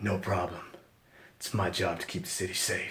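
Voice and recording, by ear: A raspy, put-on character voice from a man at a moderate pace, with audible echo.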